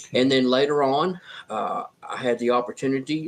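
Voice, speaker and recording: The voice is a man's, at medium pitch. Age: 60s. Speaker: herbalist and beekeeper. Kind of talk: interview. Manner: halting.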